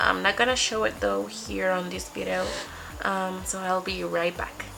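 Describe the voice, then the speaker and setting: A Spanish accent at a moderate pace, with noticeable background noise. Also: woman. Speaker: beauty vlogger. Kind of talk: makeup tutorial. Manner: casual, slightly halting.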